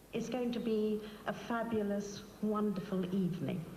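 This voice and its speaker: Noticeable background noise sits behind a woman speaking at a moderate pace. Her medium-pitched voice is monotone, with flat intonation. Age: 70s. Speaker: charity founder. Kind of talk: speech to audience.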